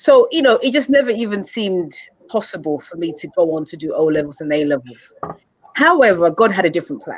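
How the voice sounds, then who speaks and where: Very fast and with very wide pitch swings, a woman speaks with an English accent. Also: medium pitch for a woman, big swings in loudness. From England. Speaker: mentor and speaker. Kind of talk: interview. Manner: halting, with repetitions.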